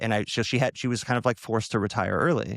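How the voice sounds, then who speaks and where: On a very clean recording with a silent background and a dry, close sound with no echo, a man with an ordinary speaking voice talks fairly quickly at a medium pitch. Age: 40s. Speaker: podcast host. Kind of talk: casual interview chat.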